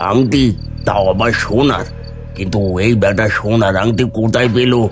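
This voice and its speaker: A man uses a cartoonish character voice at medium pitch, speaking at a fairly slow pace over clear background music. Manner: curt, scoffing.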